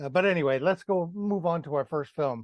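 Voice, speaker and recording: Against a quiet background, a man talks at a moderate pace in an ordinary speaking voice with lively intonation, the sound dry and close with no echo. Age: 60s. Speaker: podcast host. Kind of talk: casual chat.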